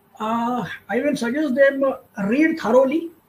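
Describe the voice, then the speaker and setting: A man with a Marathi accent speaks at a moderate pace with ordinary pitch variation. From India, Maharashtra. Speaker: career counsellor. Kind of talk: webinar interview. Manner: halting, many fillers.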